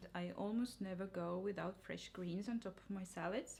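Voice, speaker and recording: A woman's voice with a non-native accent and ordinary pitch variation. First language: not English. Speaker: cooking and nutrition vlogger. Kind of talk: cooking tutorial. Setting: home kitchen.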